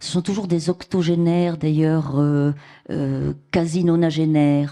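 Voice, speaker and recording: Speaking at a fairly slow pace, the woman has a very deep, low pitch and a dark, mellow tone. Her intonation is monotone and flat. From France, Cantal (rural Auvergne). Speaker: novelist. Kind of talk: public literary interview. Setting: theatre stage with audience. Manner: halting with many hesitations.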